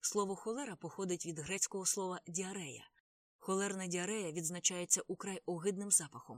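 With fairly even intonation, a speaker is reading aloud in a natural voice over a quiet background.

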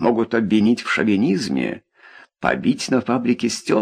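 An unforced voice does the reading. The background is quiet.

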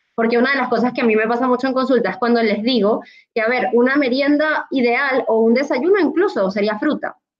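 At a fairly quick pace, a woman speaks with a high pitch, ordinary pitch variation and very even loudness. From Latin America. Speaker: pediatric dietitian. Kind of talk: panel discussion.

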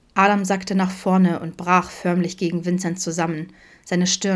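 An unforced reading voice is heard throughout.

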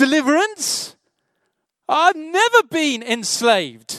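With a British accent, a man speaks in an extremely high pitch, his tone bright and sharp and his pitch swinging very widely. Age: 40s. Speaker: pastor. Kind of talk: sermon.

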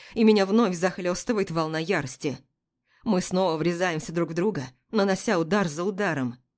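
The clip is reading aloud in a natural voice, with ordinary pitch variation over a quiet background.

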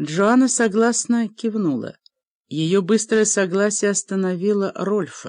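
The clip is plain reading aloud. Pitch varies in an ordinary way over a quiet background.

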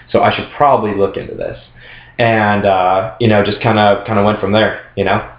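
Audible room echo surrounds a man speaking at a moderate pace in a fairly low voice with monotone, flat intonation. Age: 20s. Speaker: male model and former go-go dancer. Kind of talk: casual chat.

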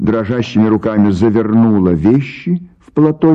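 Lively intonation in a natural reading voice

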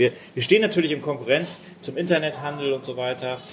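With lively intonation, a man talks at a moderate pace over noticeable background noise. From Hamburg, northern Germany. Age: 50s. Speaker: mayoral candidate. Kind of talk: interview.

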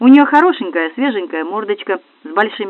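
A reading voice that is unforced

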